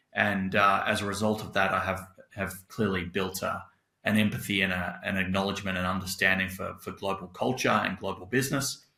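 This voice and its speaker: A man speaks in a fairly low pitch with a bright, sharp tone. His intonation is monotone and flat, in a very clean recording with a silent background. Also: fairly quick pace. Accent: Australian. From Australia. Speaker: tech company CEO. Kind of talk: podcast interview.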